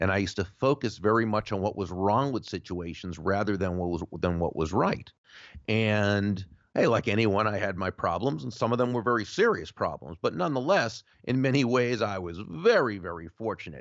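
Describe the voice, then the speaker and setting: A man speaks in a plain, everyday voice, fairly low in pitch. His pitch variation is ordinary and his pace moderate. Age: 50s. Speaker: author and sales speaker. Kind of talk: interview.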